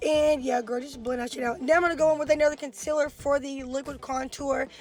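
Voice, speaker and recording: Music plays behind a woman with a high pitch. She talks at a fairly quick pace. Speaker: beauty influencer. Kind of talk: makeup tutorial voiceover. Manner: fast; animated.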